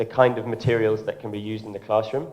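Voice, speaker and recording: Here a man speaks with an English accent. His pitch is fairly low and his intonation fairly even. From Ireland, then England from about age eleven. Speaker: tech company education head, speaker. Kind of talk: conference talk. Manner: hesitant, many fillers.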